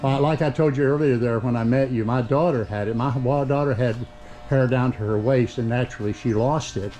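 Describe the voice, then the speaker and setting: Fairly quick male speech with fairly even intonation over noticeable background noise. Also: medium pitch for a man. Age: 70s. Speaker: vlogger. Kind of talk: casual chat.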